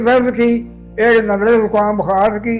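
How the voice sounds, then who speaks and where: A man speaks with a high pitch. Music plays in the background. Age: 80s+. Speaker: freedom movement activist. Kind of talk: interview answer.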